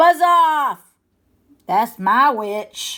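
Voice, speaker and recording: A woman puts on a high-pitched character voice that is shrill, growling and croaky, on a very clean recording with a silent background. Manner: angry, shouting.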